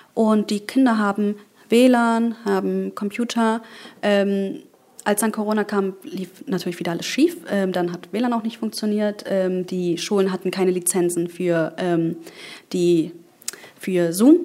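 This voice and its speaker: A woman's medium-pitched voice with a dark, mellow tone, ordinary pitch variation, a fairly slow pace and long, frequent pauses. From Germany, Berlin. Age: 20s. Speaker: politician. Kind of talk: interview.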